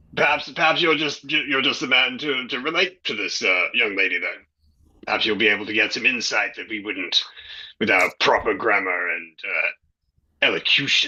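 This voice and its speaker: Putting on a raspy character voice with a fairly high pitch, a man speaks at a moderate pace. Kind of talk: improv comedy. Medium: stage play. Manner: formal, precise elocution.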